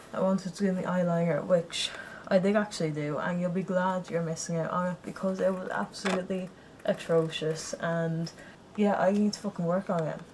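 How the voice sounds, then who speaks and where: A woman speaks at a medium pitch with monotone, flat intonation. Noticeable background noise runs behind her. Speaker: vlogger. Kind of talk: casual vlog chat. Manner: flat, low energy; casual, rambling with restarts.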